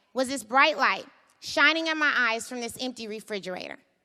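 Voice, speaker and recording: A woman speaks at a fairly quick pace in a high pitch. Her voice is raised and projected. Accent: American. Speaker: startup founder. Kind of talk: storytelling talk. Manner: conversational.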